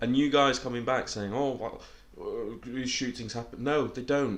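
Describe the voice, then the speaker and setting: At a moderate pace, the voice keeps its intonation fairly even. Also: man. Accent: British. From Britain. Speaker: podcast co-host. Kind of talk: casual chat.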